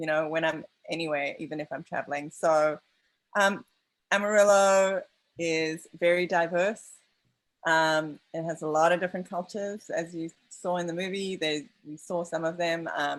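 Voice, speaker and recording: A woman speaks with a non-native accent. Her pitch is fairly low. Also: fairly even intonation, moderate pace, very clean recording, silent background. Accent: foreign accent, non-American. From outside the US. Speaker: documentary filmmaker. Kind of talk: post-screening Q&A. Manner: halting, many fillers.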